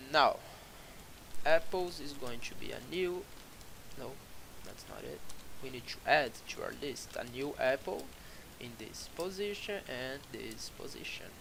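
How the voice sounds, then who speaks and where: Speech with a non-native accent comes at a fairly slow pace, broken by long, frequent pauses and marked by big swings in loudness. Audible room echo and noticeable background noise fill the recording. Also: man. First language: not English. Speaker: programming tutorial creator. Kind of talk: coding tutorial. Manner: halting, many fillers.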